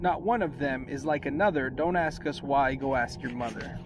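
Playful and warm in tone, a man talks at a fairly slow pace with very wide pitch swings, the sound dry with no echo and noticeable background noise. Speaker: elementary school teacher. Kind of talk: children's picture book read aloud with a sing-song, rhyming bedtime-story lilt. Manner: playful, warm and gently rhythmic, bouncing through rhymes with asides to kids; casual and chatty between reading, youthful teacher friendliness. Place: boat. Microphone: phone near.

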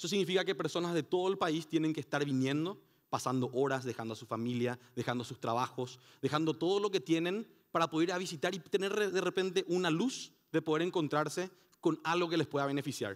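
Fairly high pitch from a man at a fairly quick pace, ordinary pitch variation and a quiet background. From Paraguay. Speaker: conference speaker. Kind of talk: conference talk. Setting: stage with audience. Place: hall. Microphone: headset.

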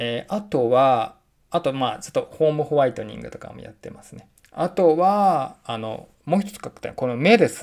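Pitch swings very widely. The background is quiet. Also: man. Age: 40s. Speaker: freelance writer and researcher; vlogger. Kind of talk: casual vlog monologue. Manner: frequent filler hesitations. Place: home room. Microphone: phone near.

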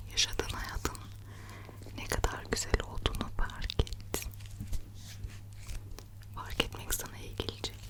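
A woman whispers in a gentle, soothing tone at a very slow pace, with long, frequent pauses. Her loudness swings widely, and background noise is noticeable. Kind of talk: ASMR personal-attention affirmations and soothing talk. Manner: soft, gentle, soothing, whispery.

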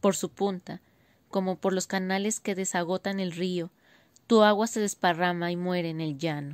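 Dry and close with no echo, on a very clean recording with a silent background, a woman with a plain, everyday voice speaks at medium pitch and a moderate pace with fairly even intonation. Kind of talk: poetry reading, spoken word.

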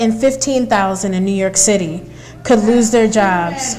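Lively intonation carries over light background noise. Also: woman. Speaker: rally emcee and moderator; rally emcee, moderator. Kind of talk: rally speech. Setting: live event with audience. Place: hall. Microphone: lapel.

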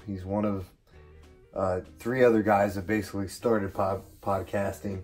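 A man's fairly low voice in monotone, flat intonation, with faint music in the background. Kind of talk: casual cooking tutorial. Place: kitchen. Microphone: phone near.

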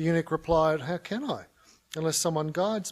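Talking at a fairly quick pace, a man with a high pitch speaks with an Australian accent. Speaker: conference speaker on mission. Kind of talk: conference talk. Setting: stage with audience. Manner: humorous. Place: hall. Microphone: podium.

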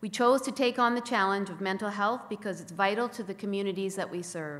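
A woman speaks at a medium pitch with ordinary pitch variation. Hers is an ordinary speaking voice. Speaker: corporate sponsor representative. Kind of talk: prepared speech. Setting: stage with audience. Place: hall. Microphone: podium.

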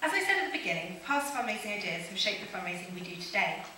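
Light background noise and audible room echo surround this woman's voice. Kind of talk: prepared conference talk. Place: stage. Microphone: podium.

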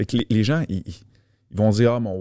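In a Quebec accent, a man speaks with a fairly low pitch and fairly even intonation, the sound dry with no echo and the background quiet. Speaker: fitness coach. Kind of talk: casual chat. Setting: studio. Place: studio. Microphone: studio mic.

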